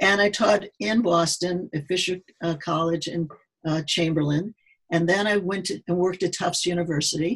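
This woman's fairly low, somewhat breathy voice carries an American accent and fairly even intonation. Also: moderate pace. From US Midwest. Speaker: neuropsychologist and sports psychologist. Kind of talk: casual interview. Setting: remote call.

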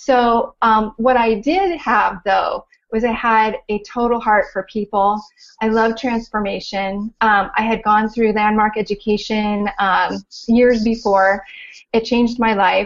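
A woman speaks in a Californian accent at a fairly high pitch and a fairly slow pace. Her loudness is very even and her intonation monotone and flat. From Southern California. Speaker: life coach. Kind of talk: interview.

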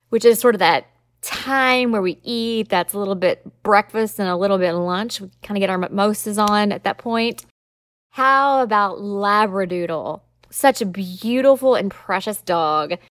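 In a Southern US accent, a woman speaks at a medium pitch and moderate pace with ordinary pitch variation. The recording is very clean, with a silent background and a dry, close sound with no echo. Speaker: lawyer and podcast host. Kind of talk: educational solo podcast monologue. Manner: conversational, explanatory.

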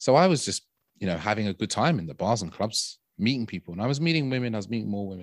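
A London accent comes through at a very fast pace with lively intonation. The sound is dry and close with no echo, on a very clean recording with a silent background. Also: man, fairly low pitch for a man. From London, England. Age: 30s. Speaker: dating and intimacy coach. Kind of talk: casual interview.

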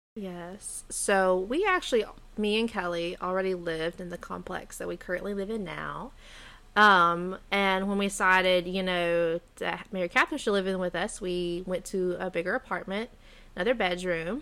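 A woman's voice, bright and sharp in tone with fairly even intonation, comes through on a very clean recording with a silent background. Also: medium pitch for a woman, moderate pace. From Arkansas. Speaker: podcast co-host, grad student. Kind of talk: casual chat.

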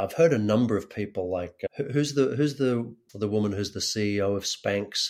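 A man's fairly low, normal speaking voice at a moderate pace, on a very clean recording with a silent background. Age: 40s. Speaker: actor and acting coach turned community builder. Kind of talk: interview conversation.

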